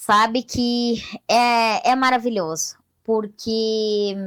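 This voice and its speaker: A woman speaks with a fairly high pitch. The recording is very clean with a silent background. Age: 40s. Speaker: blind teacher. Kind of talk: interview.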